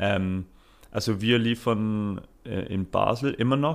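A man speaks in an English accent. His fairly low voice shows ordinary pitch variation. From Britain. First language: English (speaking German). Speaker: startup founder. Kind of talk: interview. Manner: halting, many fillers.

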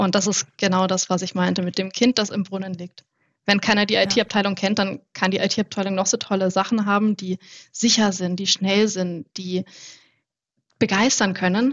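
At medium pitch, a woman talks at a moderate tempo. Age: 20s. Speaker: IT innovation manager. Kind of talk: podcast interview. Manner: animated.

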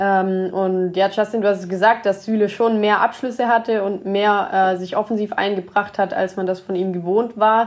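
Medium-pitched woman's voice in a monotone, flat intonation, at a moderate pace with hardly any pauses, in a very clean recording with a silent background. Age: 20s. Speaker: football coach and analyst. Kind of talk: casual chat.

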